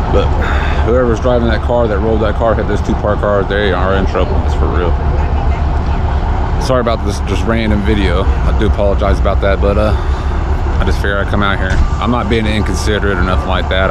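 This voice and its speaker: A man speaks at a fairly quick pace over loud background noise, the sound itself dry with no echo. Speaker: vlogger at an accident scene. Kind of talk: casual vlog chat. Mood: excited, apologetic. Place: street. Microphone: phone near.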